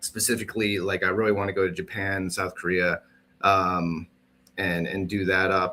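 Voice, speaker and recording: In a very clean recording with a silent background, a man speaks at a moderate pace in a very deep, low pitch, with a bright, sharp tone and monotone, flat intonation. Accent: Midwestern. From US Midwest. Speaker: podcast co-host. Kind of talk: casual chat.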